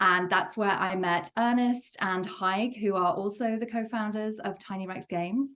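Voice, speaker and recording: Fairly even intonation in an English accent, at a moderate pace with hardly any pauses. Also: woman, medium pitch for a woman. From England, Worcester. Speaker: game studio co-founder and producer. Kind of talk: interview.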